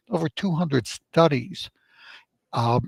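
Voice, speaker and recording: A man with an American accent talks at a moderate pace with vocal fry, recorded in a dry, close sound with no echo. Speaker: medical doctor. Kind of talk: radio interview.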